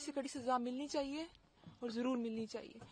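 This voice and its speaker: At a moderate pace, a woman talks in a high pitch. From Pakistan-administered Kashmir, Muzaffarabad. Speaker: deportee. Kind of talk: street interview.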